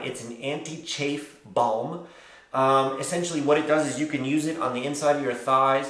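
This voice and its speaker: A man talks at a moderate pace with a fairly high pitch. Audible room echo surrounds his voice. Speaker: travel vlogger. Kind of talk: gear tutorial vlog. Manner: casual, with many fillers.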